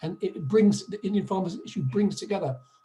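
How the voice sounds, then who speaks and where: A man speaks with ordinary pitch variation as noticeable background noise plays behind him. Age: 60s. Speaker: activist at a public meeting. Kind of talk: online meeting contribution.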